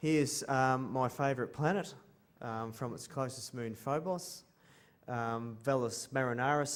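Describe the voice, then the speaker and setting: The speaker is a man. His words come in an Australian accent. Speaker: space artist. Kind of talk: conference presentation. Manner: halting, many ums.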